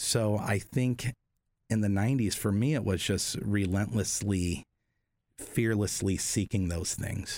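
Heard in a very clean recording with a silent background, a man speaks fairly slowly in an unremarkable speaking voice, fairly low in pitch with fairly even intonation. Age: 40s. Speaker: piercer and tattoo shop owner. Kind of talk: casual interview.

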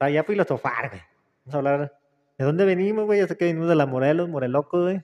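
A man's fairly high voice races along very fast, showing ordinary pitch variation. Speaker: podcast host. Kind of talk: casual chat. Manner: relaxing.

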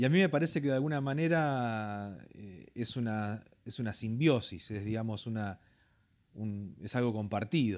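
On a very clean recording with a silent background, a man of medium pitch speaks at a fairly slow pace with lively intonation. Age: 40s. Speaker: pastor. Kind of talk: interview testimony. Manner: halting, frequent fillers.

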